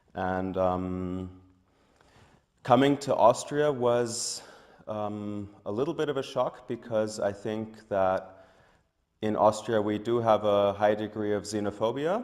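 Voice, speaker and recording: A man's fairly low voice at a very slow pace. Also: ordinary pitch variation. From Germany. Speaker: tech entrepreneur. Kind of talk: interview.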